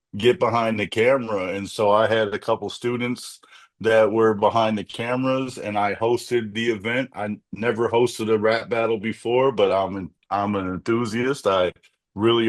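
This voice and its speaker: Over a quiet background, a man in an unremarkable speaking voice talks at a moderate pace and medium pitch with fairly even intonation. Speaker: community advocate, activist and mentor; former rap battle league founder. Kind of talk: interview answer. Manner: conversational, candid.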